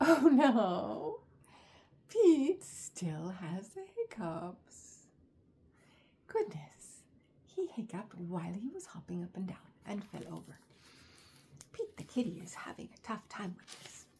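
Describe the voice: A woman speaks slowly at a medium pitch, her tone dark and mellow with a husky, rough edge. Her pitch swings widely.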